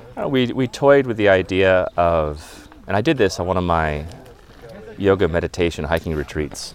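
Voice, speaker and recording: Against noticeable background noise, a man with a very deep, low voice speaks at a moderate pace with lively intonation. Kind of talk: casual chat. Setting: outdoors. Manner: friendly.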